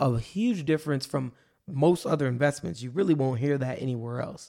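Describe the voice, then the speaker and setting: At a moderate pace, a man talks with a fairly high pitch and ordinary pitch variation in an unremarkable speaking voice. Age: 20s. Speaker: personal finance podcast host. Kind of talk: solo podcast monologue. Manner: casual with frequent fillers.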